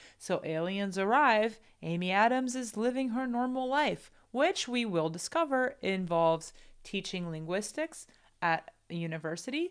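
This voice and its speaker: A woman in a Portuguese accent, fairly high-pitched with very wide pitch swings, at a moderate pace, on a very clean recording with a silent background. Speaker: film commentator. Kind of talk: film analysis commentary.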